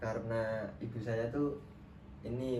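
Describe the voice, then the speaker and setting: Medium-pitched male voice with fairly even intonation and audible room echo. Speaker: counseling student. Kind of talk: counseling role-play session. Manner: casual, conversational.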